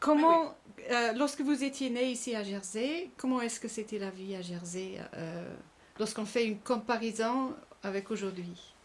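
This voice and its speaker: A normal speaking voice from a woman, fairly high in pitch, with lively intonation at a fairly slow pace. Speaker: interviewer. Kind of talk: interview questions.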